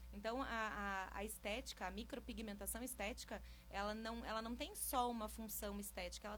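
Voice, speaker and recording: Audible room echo surrounds the speech. A woman is talking at a fairly quick pace. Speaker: micropigmentation specialist. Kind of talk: radio interview.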